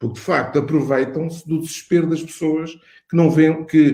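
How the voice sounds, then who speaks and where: A man with a European Portuguese accent speaks in a dark, mellow, somewhat breathy tone, with audible room echo. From Portugal. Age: 60s. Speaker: cardiologist and medical school dean. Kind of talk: interview. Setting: online webinar. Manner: halting, many repetitions and fillers.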